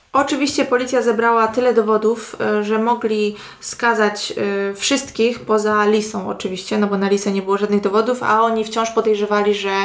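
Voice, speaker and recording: Clearly audible background noise under a fairly high female voice, moderately paced and fairly level in intonation. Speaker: true crime podcast co-host. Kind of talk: crime storytelling.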